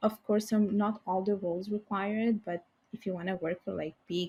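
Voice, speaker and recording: A woman's dark, mellow, somewhat breathy voice at a moderate pace over a quiet background. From Italy, Bangladeshi parents. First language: Bengali and Italian. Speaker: financial services professional. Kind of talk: podcast interview.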